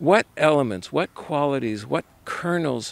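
At a very slow pace, a man with a medium-pitched voice speaks with lively intonation in a dry recording with no echo. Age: 70s. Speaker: retiree. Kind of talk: interview answer. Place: open country.

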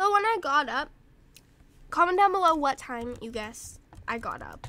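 A woman is speaking. Her pace is moderate. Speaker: gaming youtuber. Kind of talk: gameplay commentary. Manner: rambling, halting.

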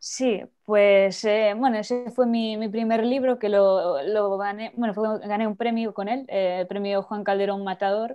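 A woman at a fairly slow pace, her intonation fairly even, against a quiet background. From Spain. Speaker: poet. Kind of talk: interview. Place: home room. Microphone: earbuds.

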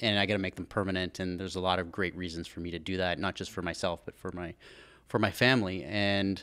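In a quiet background, a man with a very deep, low pitch and a bright, sharp tone speaks at a very fast pace in a monotone, flat delivery. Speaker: guest. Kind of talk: interview answer. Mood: reflective personal story. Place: studio. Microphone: studio mic.

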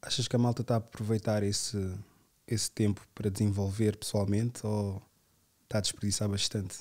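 A man talks at a fairly quick pace in a somewhat breathy, monotone voice with flat intonation, leaving long, frequent pauses, on a very clean recording with a silent background. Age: 30s. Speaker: podcast host. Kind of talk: casual chat.

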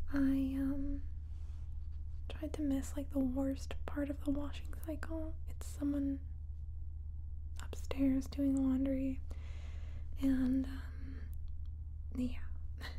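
A woman with a very deep, low pitch speaks at a very slow pace in a monotone, flat intonation, leaving long, frequent pauses. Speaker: ASMR creator. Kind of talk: soft-spoken ASMR chat. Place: home room.

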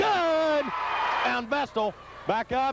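A man speaking very slowly, dry with no echo, under loud background noise. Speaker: basketball play-by-play announcer. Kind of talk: live play-by-play sports commentary. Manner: animated, with occasional laughs. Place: hall.

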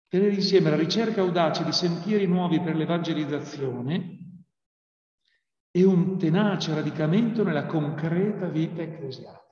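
Amid audible room echo, a man speaks with high pitch and fairly even intonation. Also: moderate pace, quiet background. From Italy. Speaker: priest and theology lecturer; priest, theology lecturer. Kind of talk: prepared talk. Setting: video call. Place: classroom. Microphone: webcam.

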